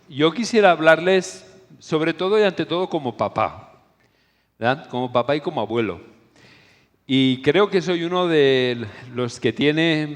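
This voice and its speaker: Long, frequent pauses break up a man's speech. His fairly high voice carries lively intonation. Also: fairly slow pace. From Spain. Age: 60s. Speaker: preacher / conference speaker. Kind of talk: sermon.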